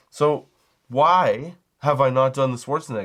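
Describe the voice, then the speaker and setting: Against a quiet background, a man at medium pitch speaks in an animated tone. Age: 40s. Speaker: comedy podcaster, cannabis shop worker. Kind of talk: casual comedic monologue.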